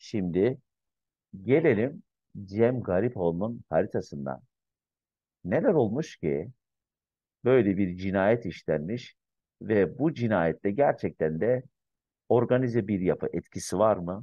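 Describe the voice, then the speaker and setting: A man speaks at a very slow pace with a fairly low pitch and long, frequent pauses. The sound is dry with no echo, over a quiet background. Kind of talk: commentary. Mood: calm, reflective. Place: home room. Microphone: webcam.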